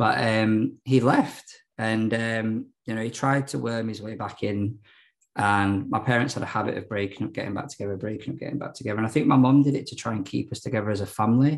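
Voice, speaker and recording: Talking at a very fast pace, a man with a South Yorkshire accent uses a medium pitch and ordinary pitch variation. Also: quiet background. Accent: South Yorkshire (Barnsley). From London and South Yorkshire (Hackney, then Barnsley). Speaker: recovering addict sharing his story. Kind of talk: personal testimony in an interview.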